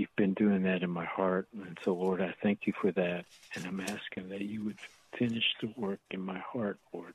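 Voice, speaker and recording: A man speaks at a moderate pace in a very deep, low pitch. His intonation is monotone and flat. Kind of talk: fervent prayer. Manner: halting, repeating words, earnest.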